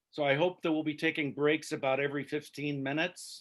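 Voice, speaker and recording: Fairly high in pitch, a man talks at a fairly quick pace. His intonation is monotone and flat. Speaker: theology professor teaching a church class. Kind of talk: online class lecture. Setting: video call.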